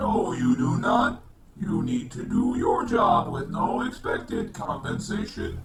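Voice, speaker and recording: Using a put-on character voice, a man speaks at a fairly slow pace and high pitch. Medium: comedy sketch. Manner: curt, dismissive.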